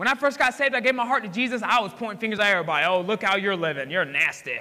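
Bright and sharp in tone, a man's raised, projected voice sits high in pitch. He races at a very fast pace with very wide pitch swings. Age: 20s. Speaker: pastor. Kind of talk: sermon. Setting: church. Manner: animated.

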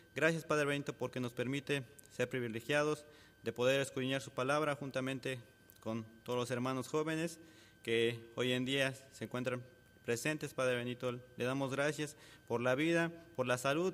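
Speaking at a fairly quick pace, a man uses an ordinary speaking voice at medium pitch with fairly even intonation. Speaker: church member leading prayer. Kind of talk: prayer.

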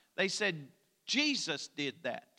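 A man with an Appalachian accent uses a raised, projected voice, high in pitch and bright and sharp in tone, on a very clean recording with a silent background. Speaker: pastor. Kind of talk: sermon. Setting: church.

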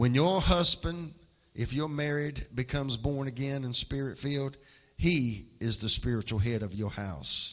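A man with a Southern US accent sounds bright and sharp, speaking in an animated tone at a fairly slow pace with ordinary pitch variation. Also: medium pitch for a man. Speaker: preacher. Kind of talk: sermon, preacher in full flow. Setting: church with live congregation. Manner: animated, exhorting the congregation; folksy, humorous.

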